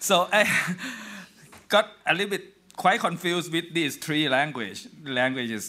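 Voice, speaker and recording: A man with a Thai accent speaks at a fairly slow pace, with long, frequent pauses. His high voice has a bright, sharp tone and lively intonation. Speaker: historian. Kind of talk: lecture.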